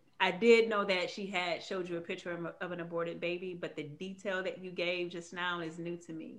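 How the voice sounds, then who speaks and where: A woman with an ordinary speaking voice talks at a fairly quick pace and a fairly low pitch. Her intonation is fairly even, but her loudness swings widely. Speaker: podcast host. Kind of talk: casual interview.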